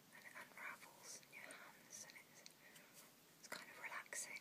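A whisper at a moderate pace. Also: woman. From UK. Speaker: ASMR vlogger. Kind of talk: casual ASMR ramble to camera. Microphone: phone near.

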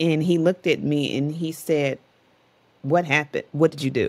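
A woman speaks at a moderate pace in a very deep, low voice. Her intonation stays fairly even. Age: 40s. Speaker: entrepreneur and author; podcast guest. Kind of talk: interview conversation. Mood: reflective, determined.

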